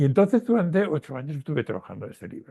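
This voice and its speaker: In a dry, close sound with no echo, a man with a fairly high pitch talks at a very fast pace, his pitch swinging very widely. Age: 80s+. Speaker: retired professor and historian of science. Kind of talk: interview conversation. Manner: halting, with fillers and repetitions.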